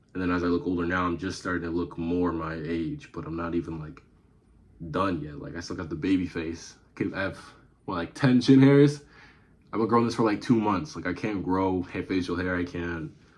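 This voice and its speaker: A man with a very deep, low pitch talks at a fairly quick pace with lively intonation. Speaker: YouTube reactor. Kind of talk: casual commentary.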